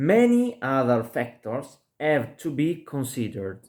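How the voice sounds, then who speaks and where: A man with a non-native accent speaks at a very slow pace and medium pitch. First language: not English. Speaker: lecturer. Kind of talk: lecture. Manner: halting.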